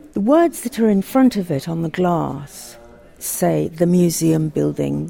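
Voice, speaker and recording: A woman talks very slowly. Behind her there is music. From Africa. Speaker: culture journalist. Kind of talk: guided tour conversation.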